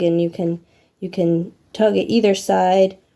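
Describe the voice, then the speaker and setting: At a fairly slow pace, a woman speaks in a monotone, flat delivery. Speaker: sewing instructor. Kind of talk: tutorial. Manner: casual, hesitant.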